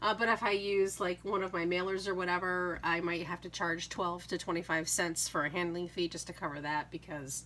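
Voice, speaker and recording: A woman with a New England accent, fairly low pitch, a bright, sharp tone, vocal fry and a fairly quick pace. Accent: Yankee. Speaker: craft YouTuber and online seller. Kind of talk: casual chat. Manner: hesitant, many fillers.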